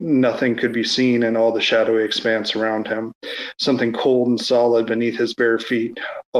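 Here is a natural reading voice. It reads the text through.

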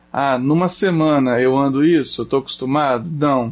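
Music runs in the background. Over it, a man is speaking. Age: 30s. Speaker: shop owner and outdoor sports enthusiast. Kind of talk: casual chat.

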